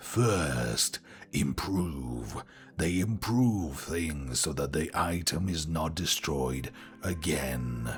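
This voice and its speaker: A man puts on a character voice, very deep and low, speaking very slowly. Clear music plays behind him, along with some hissing. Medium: read story. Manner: authoritative, dry, matter-of-fact.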